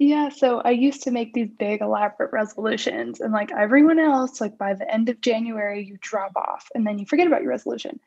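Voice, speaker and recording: A woman's fairly high voice at a very fast pace, hardly any pauses, ordinary pitch variation, and noticeable background noise. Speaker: podcast co-host. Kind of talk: casual chat.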